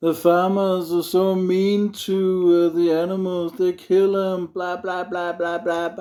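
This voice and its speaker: A man's high-pitched, monotone, flat delivery at a very slow pace, on a very clean recording with a silent background. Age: 40s. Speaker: vlogger. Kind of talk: opinion rant monologue.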